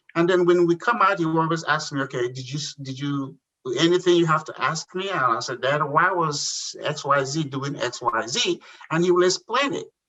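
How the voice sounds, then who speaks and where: A man with a Nigerian accent, fairly high in pitch, at a moderate pace. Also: ordinary pitch variation. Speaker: entrepreneur. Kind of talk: interview. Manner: halting.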